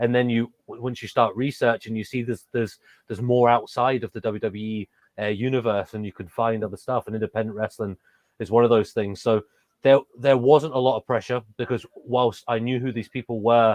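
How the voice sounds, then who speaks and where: Fairly quick, monotone, flat delivery from a man of medium pitch. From England. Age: 30s. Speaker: professional wrestler. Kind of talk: interview. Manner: hesitant, many fillers and restarts.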